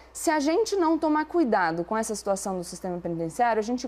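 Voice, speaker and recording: A woman's fairly high voice, very wide pitch swings, and a fairly quick pace. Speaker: debate commentator. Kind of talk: debate. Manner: fast.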